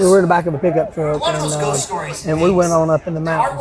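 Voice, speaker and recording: A man with an Appalachian accent is heard with audible room echo and music in the background. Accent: Appalachian Southern US. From western North Carolina, Asheville area. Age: 60s. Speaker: hunter telling a Bigfoot encounter. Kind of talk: storytelling interview.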